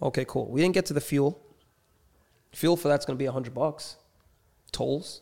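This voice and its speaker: A man with a New York accent at a fairly high pitch, dark and mellow in tone, at a moderate pace with long, frequent pauses, on a very clean recording with a silent background. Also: fairly even intonation. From New York City, Queens. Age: 30s. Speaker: street racer and entrepreneur. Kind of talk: casual chat.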